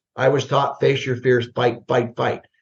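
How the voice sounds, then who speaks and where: With an American accent, a man talks in a voice that is somewhat breathy. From US Midwest. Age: 60s. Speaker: retired army general. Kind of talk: interview conversation. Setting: podcast. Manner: animated, with many fillers.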